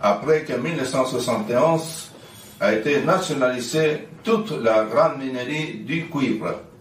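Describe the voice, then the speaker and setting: Very slowly and with lively intonation, a man speaks at a fairly high pitch, with audible room echo and noticeable background noise. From Chile. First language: Spanish (speaking French). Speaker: activist and NGO president. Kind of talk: commemorative speech. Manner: halting.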